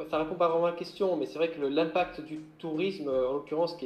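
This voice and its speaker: Music plays behind a man speaking at a moderate pace. His fairly high voice keeps a fairly even intonation. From Corsica. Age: 30s. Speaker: maritime gendarme and adventurer. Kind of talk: interview.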